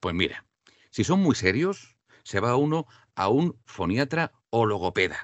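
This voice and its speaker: Pitch swings very widely around a man's medium-pitched voice. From Andalusia, Spain. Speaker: voice-over artist and diction teacher. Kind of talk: interview. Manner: clear trained diction.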